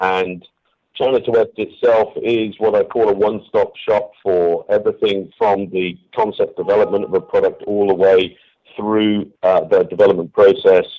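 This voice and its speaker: Speaking at moderate speed, a man talks in a British accent. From England. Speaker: company CEO, former military. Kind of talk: radio interview. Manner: hesitant, many fillers.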